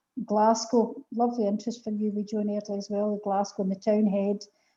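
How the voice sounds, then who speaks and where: A woman speaks in a west of Scotland accent at a moderate pace and a fairly high pitch. Her tone is dark and mellow, and somewhat breathy. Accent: Scottish (west of Scotland). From Scotland, Paisley. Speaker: poetry event host. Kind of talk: casual chat. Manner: animated.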